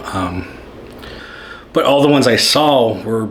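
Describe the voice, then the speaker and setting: Moderate-paced speech from a man, with noticeable background noise and audible echo of the room. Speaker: maker and YouTuber. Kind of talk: casual vlog talk.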